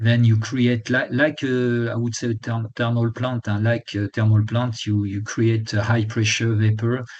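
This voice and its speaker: A man's medium-pitched voice in monotone, flat intonation, at a fairly slow pace with hardly any pauses. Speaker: lecturer, retired energy executive. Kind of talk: lecture. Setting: webinar. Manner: halting, many fillers and restarts.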